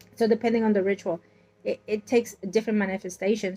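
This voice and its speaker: Flat, monotone intonation from a woman at a medium pitch. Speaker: tarot reader. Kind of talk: tarot reading. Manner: halting.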